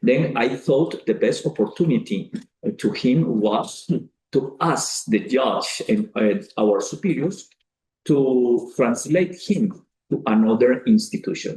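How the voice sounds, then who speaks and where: Speaking very slowly with a Colombian accent, a man uses a fairly high pitch, very wide pitch swings, very even loudness and a dark, mellow, somewhat breathy tone. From Colombia (Cali). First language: Spanish. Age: 40s. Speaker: priest. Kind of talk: speech to an audience. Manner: halting, with frequent fillers.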